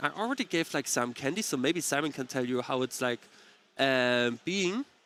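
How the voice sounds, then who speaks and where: A man with a German accent and a fairly high pitch speaks with lively intonation in a dry, close sound with no echo. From eastern Germany (Dresden area). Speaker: card game commentator. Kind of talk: casual chat. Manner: halting, many fillers.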